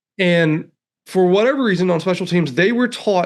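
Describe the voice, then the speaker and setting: A man with a Southern US accent speaks in a high pitch with ordinary pitch variation. The background is quiet. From Alabama, US South. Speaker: economist. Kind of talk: podcast interview. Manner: animated.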